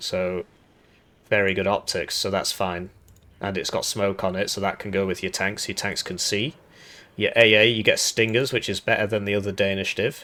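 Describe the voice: A man with a low, raspy voice and a bright, sharp tone speaks at a moderate pace with little pitch movement.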